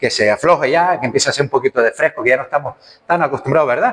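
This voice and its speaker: With a Canarian accent, a man speaks at a fairly high pitch with lively intonation over noticeable background noise. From Canary Islands. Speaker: preacher. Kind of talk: sermon. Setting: church.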